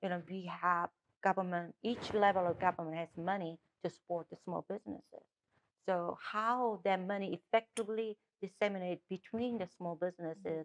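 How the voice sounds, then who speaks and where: A woman with a Korean accent talks at a moderate pace with fairly even intonation, in dry, close sound with no echo. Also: medium pitch for a woman. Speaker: political candidate. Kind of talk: interview. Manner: halting.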